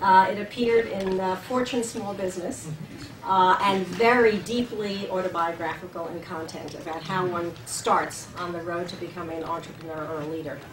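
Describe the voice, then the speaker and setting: A woman talks at a medium pitch with big swings in loudness. There is noticeable background noise and audible room echo. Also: ordinary pitch variation, moderate pace. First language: German. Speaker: leadership scholar, seminar host. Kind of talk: speaker introduction. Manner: halting, many fillers.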